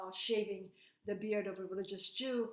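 At a moderate pace, a woman talks with a fairly high pitch, and audible room echo is present. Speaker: invited lecturer giving a remote talk. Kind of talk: lecture. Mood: grave, earnest.

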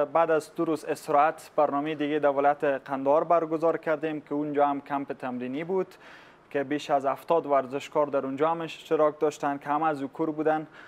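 The man's intonation is fairly even. He keeps up a fairly quick pace. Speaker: guest. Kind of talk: interview answer. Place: studio. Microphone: lapel.

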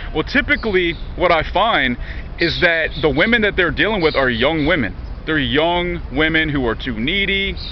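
A man with a high pitch talks at a moderate pace, with ordinary pitch variation. The sound is dry with no echo, over light background noise. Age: 30s. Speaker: vlogger. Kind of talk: casual monologue vlog. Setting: outdoors in a park. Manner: repetitive stammering. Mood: candid, slightly frustrated. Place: garden. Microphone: phone near.

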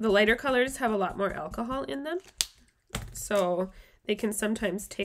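Over light background noise, a woman speaks at a fairly quick pace with vocal fry and very wide pitch swings. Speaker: craft video host. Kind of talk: tutorial. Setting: live stream at home. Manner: casual, friendly, filler words. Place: home room.

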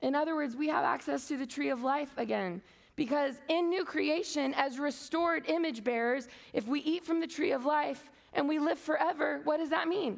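A woman with a high pitch and an animated tone, ordinary pitch variation, very even loudness, and a quiet background. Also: moderate pace. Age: 30s. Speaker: conference speaker. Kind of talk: sermon. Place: stage.

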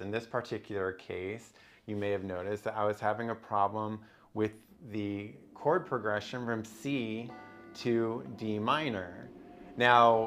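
A man at a fairly slow pace, with long, frequent pauses and ordinary pitch variation. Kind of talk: tutorial. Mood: relaxed, explanatory. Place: home room. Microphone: lapel.

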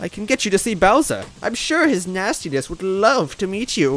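A man's put-on character voice, cackling, high-pitched, raised and projected, at a moderate pace. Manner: sweet then snapping, cackling.

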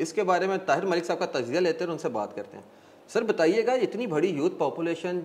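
Noticeable background noise sits behind a man speaking at a high pitch with lively intonation. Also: moderate pace, big swings in loudness. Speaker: talk show host. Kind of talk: talk show interview.

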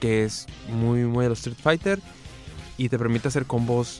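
Over faint background music, a man speaks at a fairly slow pace in a dry sound with no echo. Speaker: radio co-host. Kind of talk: radio talk show. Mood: relaxed, amused. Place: studio. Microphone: studio mic.

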